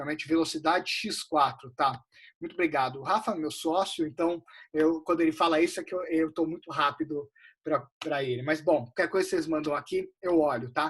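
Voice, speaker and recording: A man delivers his words at a fairly quick pace, his pitch fairly high. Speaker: investment advisor. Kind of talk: live webinar lecture. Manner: fast; casual, animated.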